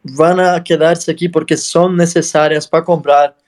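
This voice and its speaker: A man speaks with a non-native accent and a high pitch. His pace is fairly slow. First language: not Spanish (speaking Spanish). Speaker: podcast host. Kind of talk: interview. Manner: halting.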